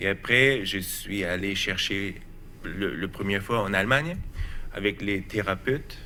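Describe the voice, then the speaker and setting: In a room with audible echo, a man with a German accent talks at a fairly slow pace in a bright, sharp tone. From Germany. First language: German (speaking French). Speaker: researcher. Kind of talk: TV talk show interview. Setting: TV studio. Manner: halting, hesitant.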